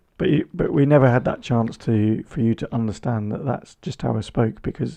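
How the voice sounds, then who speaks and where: A dark, mellow tone comes with ordinary pitch variation. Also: man. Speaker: podcast co-host. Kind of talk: casual chat. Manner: sounds argumentative or cross; loud, intense.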